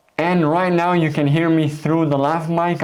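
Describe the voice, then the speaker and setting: A man at a moderate pace, with audible room echo. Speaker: tech reviewer. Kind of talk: product review tutorial. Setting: indoors.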